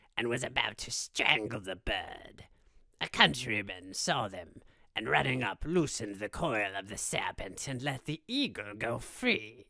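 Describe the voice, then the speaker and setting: Vocal fry marks a man's bright, sharp tone at medium pitch. He speaks at a fairly slow pace with lively intonation. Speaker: voice actor. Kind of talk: fable reading.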